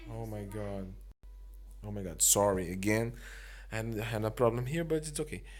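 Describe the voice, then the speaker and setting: In a room with audible echo, a man speaks with a non-native accent. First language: not English. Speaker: mobile game video creator. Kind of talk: game review commentary. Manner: halting.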